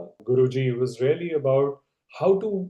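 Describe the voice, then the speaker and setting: Speaking with a Telugu accent, a man uses a fairly high pitch and ordinary pitch variation. His dark, mellow tone is somewhat breathy, and his pace is fairly slow. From India. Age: 50s. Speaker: leadership expert. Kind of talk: interview conversation. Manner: conversational, with fillers and restarts.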